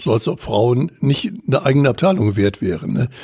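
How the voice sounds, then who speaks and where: A man with a medium-pitched voice. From Bavaria. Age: 70s. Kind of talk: podcast interview.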